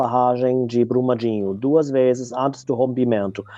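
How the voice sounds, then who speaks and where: A man with a German accent talks with ordinary pitch variation. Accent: foreign (German) accent in Portuguese. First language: German (speaking Portuguese). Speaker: researcher and activist. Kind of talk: interview conversation. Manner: hesitant, many fillers.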